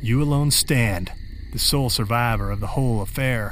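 Here a man has an unremarkable speaking voice. He keeps a moderate pace with ordinary pitch variation. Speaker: horror fiction author and podcast host. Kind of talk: scripted horror narration in second person. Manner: formal, inviting and theatrical in the intro and outro.

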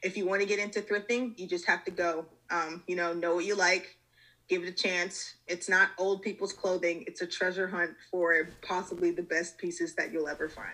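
A woman with an American accent speaks at a medium pitch and moderate pace, monotone and flat. Her tone is bright and sharp against a quiet background. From US South, Georgia (Metro Atlanta). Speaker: fashion design student. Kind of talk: casual chat.

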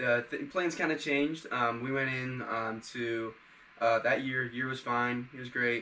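A man talks at a fairly slow pace. He has an unremarkable speaking voice with fairly even intonation. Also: medium pitch for a man. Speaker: podcast co-host. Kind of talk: casual interview.

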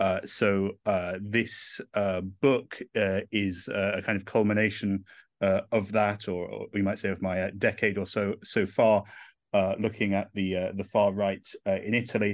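A man with an English accent talks in a flat monotone against a quiet background. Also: fairly low pitch for a man, fairly slow pace. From England. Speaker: historian and author. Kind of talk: interview answers, academic discussion.

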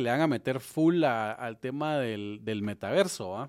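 A man with a Guatemalan accent talks fairly slowly at a medium pitch with ordinary pitch variation, on a very clean recording with a silent background. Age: 30s. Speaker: podcast host, real estate developer. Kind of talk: interview.

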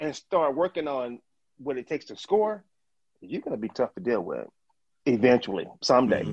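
With a Mississippi accent and a fairly high pitch, a man talks at a fairly quick pace with very wide pitch swings, big swings in loudness, and long, frequent pauses, in a dry, close sound with no echo. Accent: Southern US (Mississippi). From US South, northern Mississippi. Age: 50s. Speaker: long drive golfer. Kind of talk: interview.

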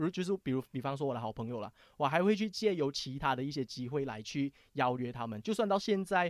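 A man at a medium pitch with a slight Taiwanese accent, very fast pace and lively intonation, on a very clean recording with a silent background and a dry, close sound with no echo. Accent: slight Taiwanese tinge. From Malaysia. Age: young. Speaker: finance show DJ. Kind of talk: casual chat.

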